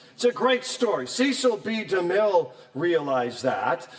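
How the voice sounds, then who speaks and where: Man's voice against noticeable background noise. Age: 60s. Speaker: Bible professor. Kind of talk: lecture. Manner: animated.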